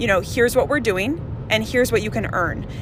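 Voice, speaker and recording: Against noticeable background noise, a woman with an American accent talks with lively intonation. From Minnesota. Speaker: health coach and entrepreneur. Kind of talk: casual interview. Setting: in a car.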